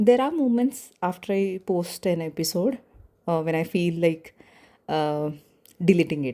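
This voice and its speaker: A woman with a non-native accent speaks at a fairly slow pace, leaving long, frequent pauses. Her fairly low voice has a dark, mellow tone and lively intonation. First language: not English. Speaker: podcaster. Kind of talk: personal reflection monologue. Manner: hesitant, with pauses.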